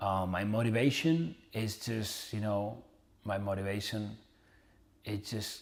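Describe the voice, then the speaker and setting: This man speaks with a Spanish accent at a fairly low pitch and ordinary pitch variation. His pace is fairly slow, broken by long, frequent pauses. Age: 30s. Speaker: entrepreneur and motivational influencer. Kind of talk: casual vlog monologue. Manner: casual, with fillers and repetitions.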